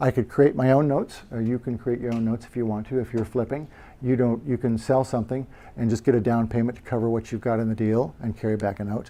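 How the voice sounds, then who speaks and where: At a very fast pace, a man talks in a dark, mellow tone with fairly even intonation. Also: medium pitch for a man. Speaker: real estate investor presenting to a meetup. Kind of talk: presentation. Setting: meetup group presentation. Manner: halting, many fillers.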